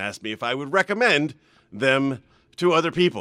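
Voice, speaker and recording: A man speaks loudly in a medium pitch with a bright, sharp tone. The recording is very clean, with a silent background. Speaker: radio host. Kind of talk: casual banter, morning radio show. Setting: studio with headphones. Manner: loud, overcompensates because hard of hearing.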